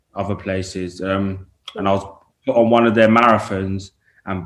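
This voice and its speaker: Speaking at a moderate pace in an East London accent, the voice stays monotone with flat intonation. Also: man. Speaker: rapper. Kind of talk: interview.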